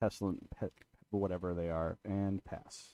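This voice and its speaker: In a dry, close sound with no echo, a man talks in a dark, mellow tone with monotone, flat intonation. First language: Portuguese. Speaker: streamer playing card game. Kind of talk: casual chat. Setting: live stream with friends.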